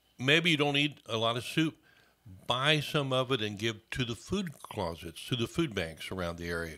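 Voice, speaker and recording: The recording is very clean with a silent background, and a man speaks at a moderate pace and medium pitch. His tone is bright and sharp, with vocal fry and very wide pitch swings. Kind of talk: radio interview answer. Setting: radio studio.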